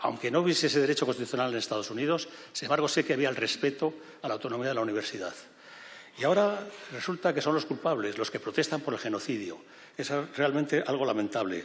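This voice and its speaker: Talking at a very fast pace, a man with a fairly high pitch uses lively intonation while audible room echo surrounds him. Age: 70s. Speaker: president of refugee aid organization, former university rector. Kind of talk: public speech. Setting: parliament event hall with audience. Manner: halting, with self-corrections.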